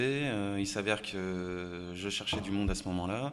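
The speaker has an ordinary speaking voice. The pace is moderate. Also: man. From France, Haute-Savoie (Annemasse). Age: 30s. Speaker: bar owner. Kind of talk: casual interview.

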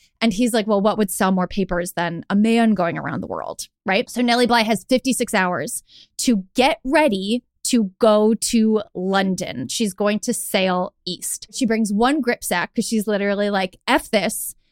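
A woman with an American accent and an unremarkable speaking voice talks at a fairly slow pace with hardly any pauses. Her fairly high pitch varies in an ordinary way, and the sound is dry and close with no echo. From upstate New York, Hudson Valley. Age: 30s. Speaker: travel writer and podcaster. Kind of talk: storytelling; casual interview.

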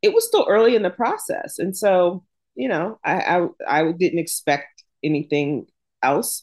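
An unremarkable speaking voice from a woman with an American accent, medium pitch, fairly slow pace, quiet background. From US South, Jacksonville, Florida. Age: 50s. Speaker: author. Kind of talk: interview.

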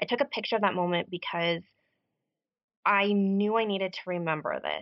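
At a fairly quick pace, a woman speaks at a medium pitch with ordinary pitch variation in a plain, everyday voice. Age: 30s. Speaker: podcast listener sharing recovery story. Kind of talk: interview conversation.

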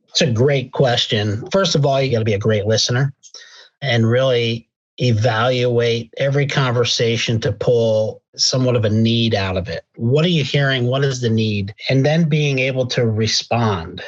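A man speaks at a medium pitch with an American accent and ordinary pitch variation. His voice is somewhat breathy, and the background is quiet. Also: moderate pace. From Pennsylvania. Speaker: healthcare executive. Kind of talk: interview.

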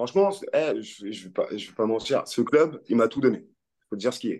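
The man's voice has a dark, mellow tone. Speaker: former professional rugby player. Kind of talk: interview. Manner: halting.

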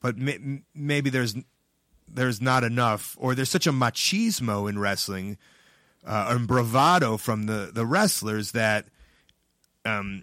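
A man with a Chicago accent speaks fairly slowly in a bright, sharp tone with ordinary pitch variation. The recording is very clean, with a silent background. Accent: Chicago American. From Chicago, US Midwest. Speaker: pro wrestler and comedian. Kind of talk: casual chat.

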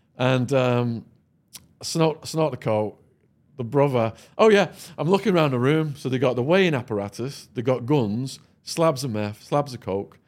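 With a northern English accent, a man speaks at a moderate pace and medium pitch with lively intonation on a very clean recording with a silent background. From northern England. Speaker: former drug dealer and podcaster. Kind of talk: storytelling interview. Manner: animated.

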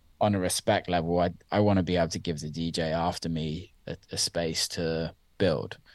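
This man speaks in a West Country accent, with a very deep, low pitch and fairly even intonation. His pace is moderate, and the background is quiet. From Somerset, England. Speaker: DJ and music producer. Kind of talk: interview.

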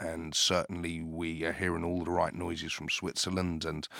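In a very clean recording with a silent background, a man with a British accent speaks at a moderate pace and a very deep, low pitch. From Zimbabwe, raised in UK. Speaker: company CEO and founder. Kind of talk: interview. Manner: hesitant, filler-heavy.

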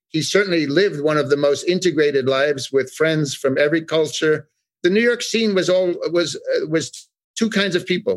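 Speaking in an ordinary speaking voice with an American accent, a man talks at a fairly quick pace and fairly high pitch, with ordinary pitch variation and very even loudness. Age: 60s. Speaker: art expert. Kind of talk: interview. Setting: remote call.

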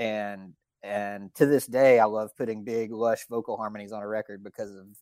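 On a very clean recording with a silent background and a dry, close sound with no echo, a man with an American accent speaks in a fairly low, monotone, flat voice. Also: big swings in loudness. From Alabama (Florence), later Pennsylvania and Wisconsin. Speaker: session musician and producer. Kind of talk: casual interview chat.

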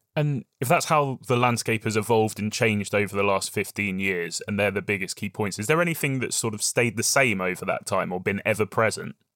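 A man with a British accent at a fairly quick pace, hardly any pauses, ordinary pitch variation, and a very clean recording with a silent background. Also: fairly low pitch for a man, dry, close sound with no echo. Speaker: podcast host. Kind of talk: podcast interview.

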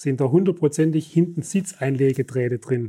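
On a very clean recording with a silent background, a man with a fairly high pitch and a dark, mellow tone speaks somewhat breathily at a moderate pace, with ordinary pitch variation. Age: 60s. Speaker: company executive. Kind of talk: interview. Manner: halting.

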